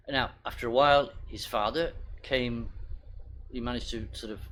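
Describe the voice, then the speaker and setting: A man speaks with a British accent. Audible room echo surrounds the voice. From Britain. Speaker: pastor. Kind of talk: sermon. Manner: halting.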